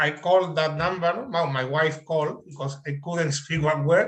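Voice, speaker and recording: In a strong Spanish accent, a man speaks with a fairly high pitch, a bright, sharp tone, and fairly even intonation. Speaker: adult English learner. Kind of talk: panel interview. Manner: halting.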